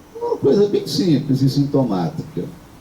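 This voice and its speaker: A man talks at a fairly slow pace, with audible room echo. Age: 60s. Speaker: priest. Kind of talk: sermon. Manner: halting.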